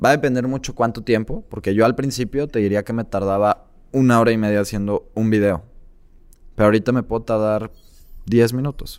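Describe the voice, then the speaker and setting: At a fairly quick pace, a man speaks at a medium pitch in a normal speaking voice with fairly even intonation. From Mexico, Tabasco. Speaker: entrepreneur and content creator. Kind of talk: interview.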